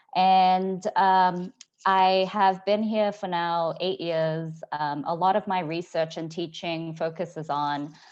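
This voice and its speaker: A woman with an Australian accent speaks at a very slow pace. Her pitch is fairly low and her intonation fairly even. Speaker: epidemiologist. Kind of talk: panel discussion. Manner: hesitant, many fillers.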